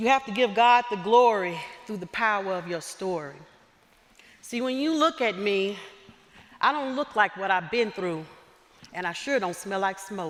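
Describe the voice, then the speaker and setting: Someone with a Southern US accent talks at a moderate pace with lively intonation and long, frequent pauses. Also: woman, medium pitch for a woman. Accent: southern twang. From US South, southwest Arkansas. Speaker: chapel speaker, university instructor. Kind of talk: sermon. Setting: stage with audience in church. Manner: animated.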